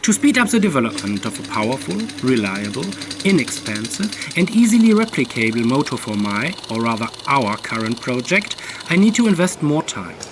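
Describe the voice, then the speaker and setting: A German accent at a moderate pace amid noticeable background noise. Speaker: DIY engine builder and YouTuber. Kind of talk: channel announcement. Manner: formal.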